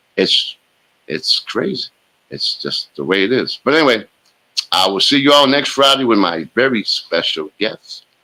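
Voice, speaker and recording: Vocal fry runs through a man's bright, sharp, animated delivery at a moderate pace. His pitch sits in the medium range, with lively intonation. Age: 60s. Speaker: sports talk show host. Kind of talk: solo show monologue. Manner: casual, animated.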